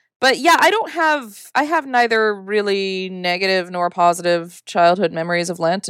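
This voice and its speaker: A woman speaks with a northern US accent at a moderate pace. Her pitch varies in an ordinary way. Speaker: podcast host. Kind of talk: casual chat.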